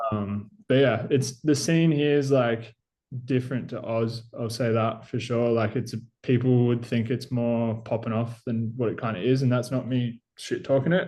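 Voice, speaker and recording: A man with an Australian accent, dark and mellow in tone, with fairly even intonation. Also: medium pitch for a man, moderate pace. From Australia, Gippsland, Victoria. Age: 20s. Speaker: BMX rider. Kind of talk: casual chat.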